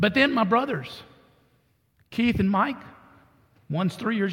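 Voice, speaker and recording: Here a man talks with a Texan accent. His pitch varies in an ordinary way. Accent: Texan (US Southern). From Texas. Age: 70s. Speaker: pastor. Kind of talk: sermon. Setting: church.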